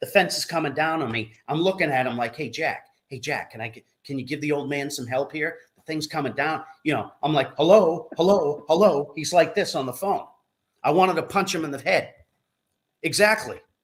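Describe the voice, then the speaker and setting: This is a normal speaking voice with ordinary pitch variation. It moves at a fairly quick pace with big swings in loudness. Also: man, fairly high pitch for a man. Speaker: co-host of live call-in show. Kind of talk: casual chat.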